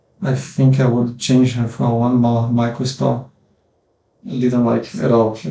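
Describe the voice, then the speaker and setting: A man's dark, mellow, somewhat breathy voice moves at a fairly slow pace. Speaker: gaming content creator. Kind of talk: gameplay commentary. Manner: halting, many fillers.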